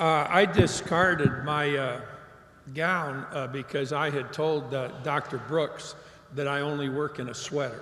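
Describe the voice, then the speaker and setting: A man's fairly high pitch, fairly slow pace and fairly even intonation come through noticeable background noise. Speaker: commencement speaker. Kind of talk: commencement speech with humorous anecdote. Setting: live auditorium / PA system. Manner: conversational, storytelling.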